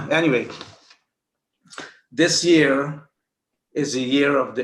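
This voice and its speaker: Room echo can be heard. The words unfold very slowly. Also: man. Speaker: speaker on Chinese astrology and health. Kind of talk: informal talk to a group. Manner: halting.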